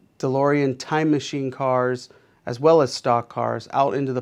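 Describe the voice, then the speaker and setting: A plain, everyday voice speaks at a fairly slow pace with fairly even intonation against a quiet background. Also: man. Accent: American. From Pittsburgh, Pennsylvania. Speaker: art teacher and car rental business owner. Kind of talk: casual interview monologue.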